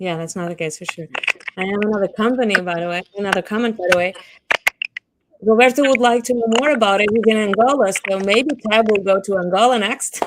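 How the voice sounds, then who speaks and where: A woman with a Portuguese accent talks at a fairly quick pace, her medium pitch showing ordinary variation. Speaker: business talk host. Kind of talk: interview. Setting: live video session. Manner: halting.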